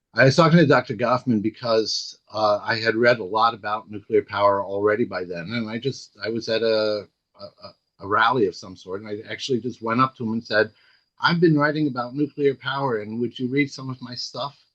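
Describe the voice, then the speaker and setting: A man talks at a fairly quick pace and medium pitch, with ordinary pitch variation. His loudness swings widely against a quiet background. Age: 60s. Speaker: anti-nuclear activist and author. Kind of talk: talk to online audience. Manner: halting, many fillers and repeats.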